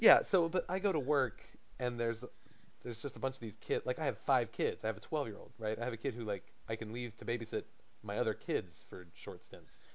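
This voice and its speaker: With lively intonation and a fairly quick pace, this is an ordinary speaking voice. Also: man, medium pitch for a man. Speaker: podcast co-host. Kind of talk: casual chat. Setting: Skype call.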